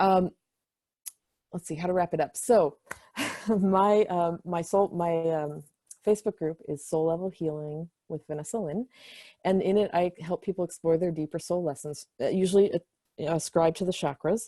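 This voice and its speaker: A woman speaks in a dark, mellow tone at a fairly low pitch, with fairly even intonation, long and frequent pauses, a quiet background, and a dry, close sound with no echo. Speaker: spiritual counselor. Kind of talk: panel presentation. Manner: fast.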